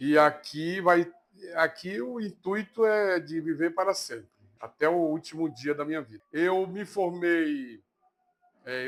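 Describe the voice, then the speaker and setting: A man's voice, fairly high in pitch. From Bahia, Brazil (Itabuna, south Bahia). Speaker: Candomblé priest. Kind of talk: interview testimony. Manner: halting.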